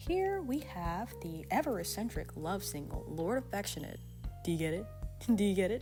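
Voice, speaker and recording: Background music is playing. Over it, a woman keeps a moderate pace. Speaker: artist and original-character creator. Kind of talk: casual channel update talk.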